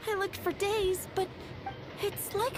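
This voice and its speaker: Over loud background noise, a woman puts on a squeaky character voice at an extremely high pitch, speaking at a moderate pace. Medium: machinima. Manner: nervous, stammering.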